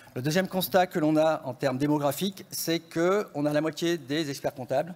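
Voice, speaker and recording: Fairly quick in pace, a man talks with a fairly high pitch. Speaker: economist. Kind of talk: conference presentation. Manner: usually speaks softly and fast; hesitant, many fillers.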